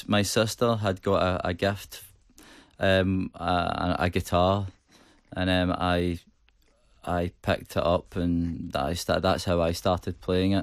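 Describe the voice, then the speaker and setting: In a Glaswegian accent, a man speaks very slowly with a very deep, low voice, flat monotone intonation, very even loudness and long, frequent pauses, on a very clean recording with a silent background. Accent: Glaswegian Scottish. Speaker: rock band singer. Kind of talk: radio interview. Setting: radio studio. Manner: hesitant, many fillers and repetitions.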